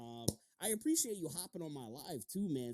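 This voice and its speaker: An American-accented man with a dark, mellow tone talks at a moderate pace with lively intonation, in a dry, close sound with no echo. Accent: New York accent, toned down now. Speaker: podcast host. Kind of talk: casual interview chat. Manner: animated.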